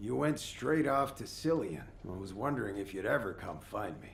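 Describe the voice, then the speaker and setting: A put-on character voice, raspy, at a moderate pace with very wide pitch swings. Loudness swings a lot, and there is clear background noise. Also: man, fairly low pitch for a man. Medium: video game. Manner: gruff, grumbling.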